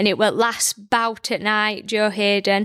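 On a very clean recording with a silent background, a woman in a Yorkshire accent speaks at a moderate pace with a fairly high pitch and monotone, flat intonation. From Barnsley, South Yorkshire, England. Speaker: boxing coach and orthodontic therapist. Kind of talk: casual interview. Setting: studio. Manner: well-spoken.

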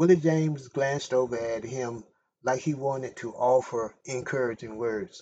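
Someone is reading aloud in a natural voice with ordinary pitch variation. The background is quiet.

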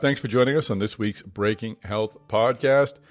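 In a very clean recording with a silent background, a man speaks in an unremarkable speaking voice, fairly low in pitch, at a fairly quick pace with ordinary pitch variation. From Boston area. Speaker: podcast host. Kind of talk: interview; scripted outro.

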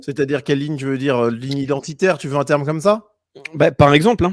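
On a very clean recording with a silent background and a dry, close sound with no echo, a man uses a normal speaking voice at medium pitch with ordinary pitch variation. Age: 30s. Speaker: YouTube political commentator. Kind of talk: debate interview.

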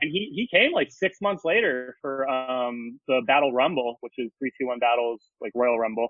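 A man with an American accent talks at a moderate pace with hardly any pauses, his unremarkable speaking voice at medium pitch with ordinary pitch variation. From Alaska, US. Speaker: wrestling and music photographer. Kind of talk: casual chat.

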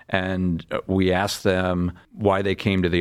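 Over a silent background in a very clean recording, a man speaks with a very deep, low pitch and an American accent. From US Northeast, suburban New York. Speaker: pediatric surgeon. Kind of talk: medical interview.

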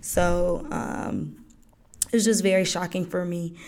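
A woman with an American accent, monotone and flat in intonation, with audible room echo. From Georgia, US. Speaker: podcast host. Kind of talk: solo podcast monologue. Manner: casual, many fillers.

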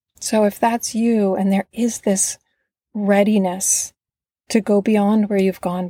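A woman speaks at a fairly slow pace with a medium-pitched, dark, mellow, somewhat breathy voice and fairly even intonation. The recording is very clean and silent, with a dry, close sound and no echo. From northern Vermont. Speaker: podcast host and life coach. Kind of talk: motivational solo podcast.

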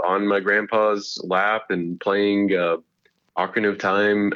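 This is a man with a normal speaking voice. His pitch is fairly low and his intonation fairly even. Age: 20s. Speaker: YouTube gaming creator. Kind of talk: casual interview.

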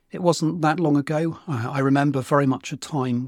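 A man with a British accent speaks at a moderate pace with ordinary pitch variation, on a very clean, dry, close recording with a silent background and no echo. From UK. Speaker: podcast host, organisational change consultant. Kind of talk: solo monologue.

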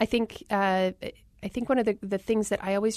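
A woman with a General American accent in a normal speaking voice, fairly quick and fairly even in intonation, against a quiet background. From Arizona. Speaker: public health worker and author. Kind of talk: interview.

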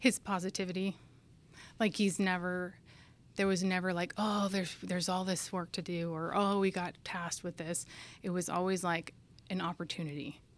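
Flat, monotone intonation comes with a West Coast accent. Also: woman, medium pitch for a woman, moderate pace. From Northern California. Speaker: air force maintenance inspector. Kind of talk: interview.

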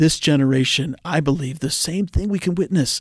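An animated man with a fairly high pitch, dry and close with no echo, in a very clean recording with a silent background. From Pittsburgh area, Pennsylvania (Oakmont), partly raised in Asia. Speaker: missions ministry leader. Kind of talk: podcast interview.

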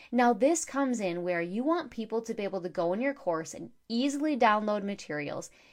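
Against a quiet background, a woman speaks in an animated tone at a fairly high pitch. Her voice moves through very wide pitch swings. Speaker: podcast host, online course coach. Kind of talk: solo podcast tutorial.

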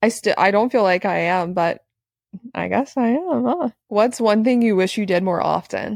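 A woman talks at a moderate pace in a plain, everyday voice, her pitch medium. The background is quiet. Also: lively intonation. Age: 20s. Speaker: podcast co-host. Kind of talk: casual chat.

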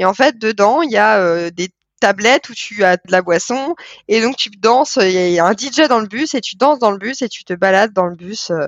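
With a normal speaking voice, a woman talks at a moderate pace, her fairly high pitch moving in lively intonation over dry, close sound with no echo. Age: 20s. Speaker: communications manager and traveller. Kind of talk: casual interview.

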